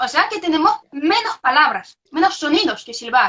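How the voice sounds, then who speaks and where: A woman's raised, projected voice at an extremely high pitch, with very wide pitch swings and a fairly slow pace. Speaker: researcher. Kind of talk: interview. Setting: video call. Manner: halting.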